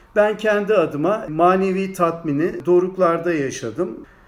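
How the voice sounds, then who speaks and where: Fairly slow speech from a man at a high pitch, with ordinary pitch variation and audible room echo. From Turkey, Ankara. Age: 60s. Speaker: anatomy professor. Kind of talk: interview.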